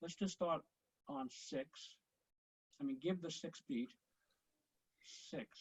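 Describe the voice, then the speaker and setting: A man speaks fairly slowly at a high pitch, with long, frequent pauses. His pitch swings very widely. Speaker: conducting teacher. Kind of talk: online conducting lesson. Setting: video call. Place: home room. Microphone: video call.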